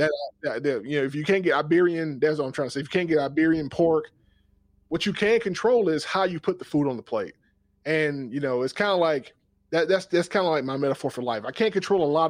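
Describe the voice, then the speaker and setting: Speaking at a very fast pace with an American accent, a man has a fairly high voice over a quiet background. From US South, South Georgia. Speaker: podcast host and cooking channel creator. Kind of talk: casual interview conversation.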